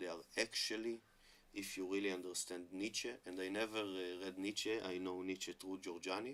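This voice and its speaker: A man with an Israeli accent speaks. His very deep, low voice stays monotone and flat. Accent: Hebrew-accented English. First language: Hebrew. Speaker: online commentator on Hebrew and religion. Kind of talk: monologue talk to camera. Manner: halting with many fillers.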